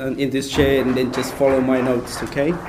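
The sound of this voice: A soft-spoken man has a slightly mellow tone. Audible room echo surrounds his voice.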